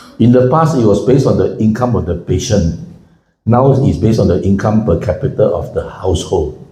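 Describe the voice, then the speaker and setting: With lively intonation and a medium pitch, a man talks at a fairly quick pace amid audible room echo. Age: 70s. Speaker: financial commentator and speaker. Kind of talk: public talk. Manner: conversational, engages audience.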